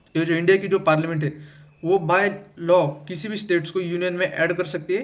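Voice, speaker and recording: A man's high voice in a flat monotone at a moderate pace, with audible room echo. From Maharashtra, India. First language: Marathi (speaking Hindi). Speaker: exam-prep teacher. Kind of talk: lecture. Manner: halting, with fillers.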